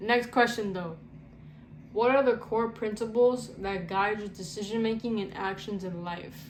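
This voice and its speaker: Audible room echo and noticeable background noise surround a woman speaking at a medium pitch and a moderate pace with fairly even intonation. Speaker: content creator. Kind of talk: casual Q&A vlog. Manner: halting, self-described stuttering; casual, slangy.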